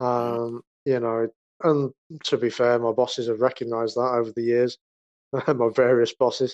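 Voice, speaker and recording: A man with an English Midlands accent speaks at a medium pitch and moderate pace in monotone, flat intonation. Long, frequent pauses break the dry, close sound, which has no echo. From English Midlands, near Birmingham. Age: 40s. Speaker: rapper and graphic artist. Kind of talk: casual interview. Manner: halting.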